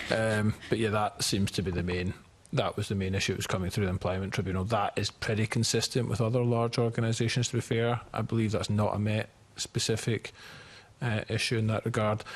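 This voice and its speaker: The voice has a Scottish accent and sounds somewhat breathy. Intonation stays fairly even, and loudness holds very even. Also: man, fairly low pitch for a man, fairly quick pace. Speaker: committee witness on policing. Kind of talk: committee hearing testimony.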